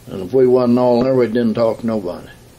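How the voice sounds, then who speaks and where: A man talks with an American accent. Noticeable background noise sits behind him. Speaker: retired union leader. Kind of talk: oral history interview. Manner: halting.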